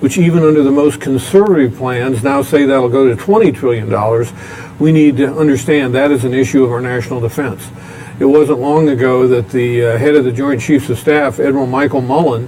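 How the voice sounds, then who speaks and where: A man at a medium pitch talks fairly fast with ordinary pitch variation while noticeable background noise persists. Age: 60s. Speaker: former state official and politician. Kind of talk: talk show interview. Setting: restaurant recording.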